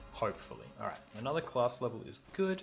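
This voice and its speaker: With an Australian accent, a man speaks at a medium pitch and a fairly quick pace. Music plays in the background. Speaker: gaming youtuber. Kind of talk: gameplay commentary. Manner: casual, relaxed.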